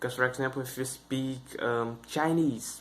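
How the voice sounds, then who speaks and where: A man speaks with a Brazilian Portuguese accent. His pace is moderate and his pitch variation ordinary. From northeast Brazil (Maranhão). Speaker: YouTuber, English learning channel. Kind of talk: casual vlog talk to camera. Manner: halting, many fillers.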